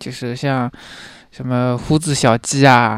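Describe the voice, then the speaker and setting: The pace is fairly slow. The recording is very clean, with a silent background. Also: man. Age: 20s. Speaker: young office worker. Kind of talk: casual chat. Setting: in person with host in Shanghai. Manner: calm, even-toned.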